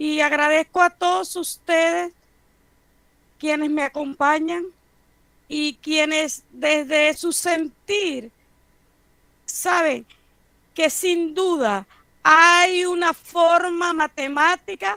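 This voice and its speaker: A woman with a high pitch uses a raised, projected voice and a bright, sharp tone, speaking at a very slow pace with long, frequent pauses and ordinary pitch variation in a dry, close sound with no echo. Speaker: professor. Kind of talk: lecture.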